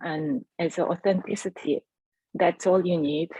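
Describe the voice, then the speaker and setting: Her voice fairly low in pitch, a woman speaks with a Korean accent and ordinary pitch variation, the sound dry and close with no echo. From South Korea. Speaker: entrepreneur. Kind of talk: testimony.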